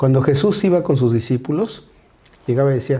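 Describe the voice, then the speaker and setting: A man at a moderate pace with medium pitch and ordinary pitch variation. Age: 60s. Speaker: pastor. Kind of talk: casual chat.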